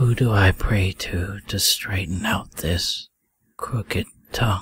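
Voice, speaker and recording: Using a put-on character voice, a man talks in a fairly low pitch. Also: fairly slow pace. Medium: video game. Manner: taunting.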